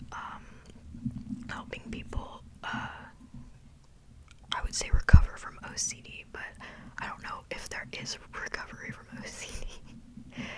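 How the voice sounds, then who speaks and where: A woman's whisper at a fairly slow pace, with long, frequent pauses and noticeable background noise. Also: big swings in loudness. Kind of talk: ASMR whisper ramble. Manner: whispered; casual, rambling.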